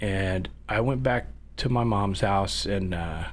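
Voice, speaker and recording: A man with an American accent speaks with audible room echo. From northern California. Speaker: business owner, former production manager. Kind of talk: casual chat. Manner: halting.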